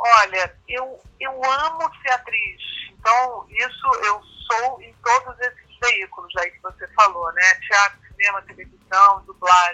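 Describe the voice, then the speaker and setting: A woman speaks at a very slow pace with hardly any pauses. Her intonation is lively, and her loudness swings widely. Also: fairly high pitch for a woman. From Brazil. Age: 50s. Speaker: actress and comedian. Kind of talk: interview. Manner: halting.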